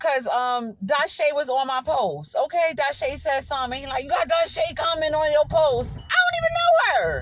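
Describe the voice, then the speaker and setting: Over background music, a woman with a high pitch and ordinary pitch variation talks in an animated tone at a moderate pace, hardly pausing. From New York City. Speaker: livestream host. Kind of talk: casual chat.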